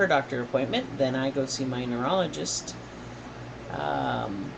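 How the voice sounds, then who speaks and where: Noticeable background noise surrounds speech delivered at a fairly slow pace. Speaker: vlogger recovering from stroke. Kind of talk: casual vlog. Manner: halting, with slip-ups and forgotten words.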